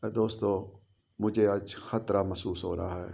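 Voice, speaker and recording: This man's voice has a dark, mellow tone. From Pakistan. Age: 70s. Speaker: political commentator. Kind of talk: political monologue. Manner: impassioned.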